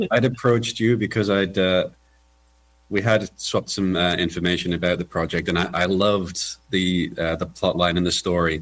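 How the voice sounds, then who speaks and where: Very deep and low in pitch, a man with a slight British accent speaks at a moderate pace with fairly even intonation and very even loudness. The recording is very clean, with a silent background. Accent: mild British. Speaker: voice narrator and associate producer. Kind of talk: casual chat.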